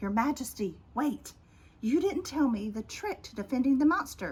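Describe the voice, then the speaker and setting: This woman uses a put-on character voice with a high pitch. She speaks at a moderate pace. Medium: read story.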